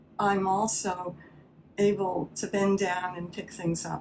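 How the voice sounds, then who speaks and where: This woman's fairly low voice carries vocal fry. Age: 70s. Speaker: patient giving testimonial. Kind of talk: testimony. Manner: halting.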